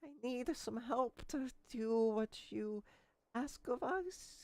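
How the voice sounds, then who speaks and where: A high-pitched, put-on character voice. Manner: pleading.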